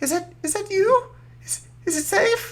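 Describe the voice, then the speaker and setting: A put-on character voice pitched extremely high speaks at a moderate pace. Light background noise sits behind it. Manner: scared, hesitant.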